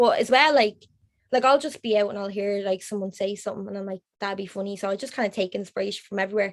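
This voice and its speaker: Someone with an Irish accent talks at a very fast pace with ordinary pitch variation. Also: woman, medium pitch for a woman. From Ireland. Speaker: graphic designer. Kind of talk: podcast interview answer.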